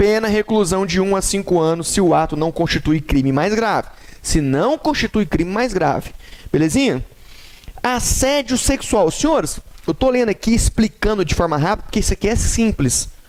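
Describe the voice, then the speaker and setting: The speaker talks at a moderate pace with lively intonation and very even loudness. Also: man, high pitch for a man. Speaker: law teacher. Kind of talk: lecture.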